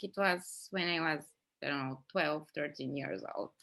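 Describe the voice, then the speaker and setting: A woman with a strong Bulgarian accent, at a moderate pace with lively intonation. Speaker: podcast host. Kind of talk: interview. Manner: halting, many fillers.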